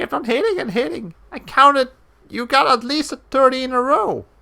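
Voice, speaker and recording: A cartoonish character voice pitched high. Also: moderate pace. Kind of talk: put-on cartoon voice. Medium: game stream. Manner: eager.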